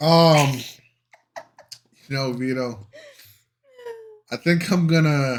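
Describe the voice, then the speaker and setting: A man with a northern US accent and fairly high pitch, very slow, with long, frequent pauses and ordinary pitch variation. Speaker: reaction channel co-host. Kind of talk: casual chat.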